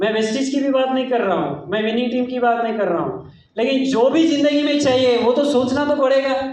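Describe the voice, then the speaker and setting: In a room with audible echo, a man talks at a moderate pace and an extremely high pitch, with ordinary pitch variation and hardly any pauses. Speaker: network marketing speaker. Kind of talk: motivational business talk. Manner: animated.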